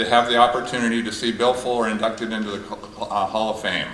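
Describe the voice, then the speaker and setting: A man talking very fast, with audible room echo and noticeable background noise. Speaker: hall of fame speaker, former athlete. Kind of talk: tribute speech. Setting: stage with audience.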